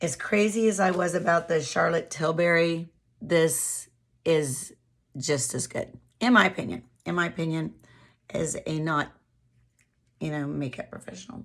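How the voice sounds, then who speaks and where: The voice belongs to a woman with a fairly low pitch. She speaks at a fairly slow pace. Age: 60s. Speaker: beauty vlogger. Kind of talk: casual product review monologue. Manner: casual, with hesitations.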